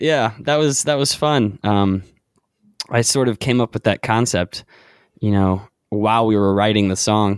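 An ordinary speaking voice with an American accent moves at a moderate pace with ordinary pitch variation. The very clean recording has a silent background and a dry, close sound with no echo. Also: man. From North Carolina, Charlotte. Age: 20s. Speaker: indie singer-songwriter. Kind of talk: casual chat.

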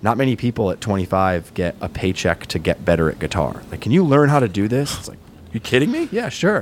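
Speaking fairly quickly with an American accent, a man uses a fairly low pitch and very wide pitch swings. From Rhode Island, US. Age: 30s. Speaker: musician. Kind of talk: casual chat.

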